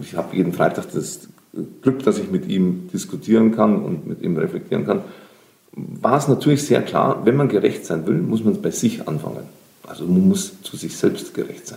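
Dark and mellow in tone, a man speaks at a moderate pace with vocal fry, very wide pitch swings and big swings in loudness. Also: medium pitch for a man. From Lower Bavaria, Germany. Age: 50s. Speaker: social entrepreneur and creative coach. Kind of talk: interview.

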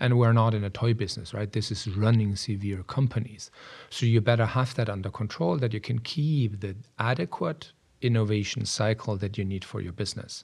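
The voice is somewhat breathy, with ordinary pitch variation and a fairly quick pace. It comes through on a very clean recording with a silent background. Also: man. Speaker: software product strategy executive. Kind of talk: casual interview.

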